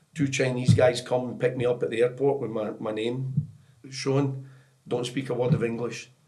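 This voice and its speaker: A man with a Scottish accent, medium pitch, moderate pace. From Scotland. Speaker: football technical director, former professional player. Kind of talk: podcast interview, storytelling. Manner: animated.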